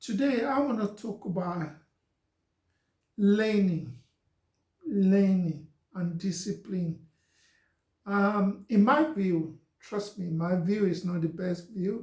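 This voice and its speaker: A man's high voice with a Nigerian accent and ordinary pitch variation, very slow with long, frequent pauses. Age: 50s. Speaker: social media talk host. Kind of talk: live stream monologue. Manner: gentle.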